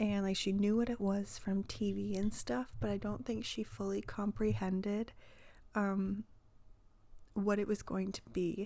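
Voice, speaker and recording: A soft-spoken woman at a fairly slow pace. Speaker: crafting YouTuber. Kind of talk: voiceover vlog. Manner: quiet, soft-spoken.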